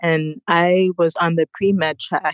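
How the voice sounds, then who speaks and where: With an American accent, a woman has an unremarkable speaking voice, fairly low in pitch and fairly even in intonation. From United States. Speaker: wellness entrepreneur. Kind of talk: interview.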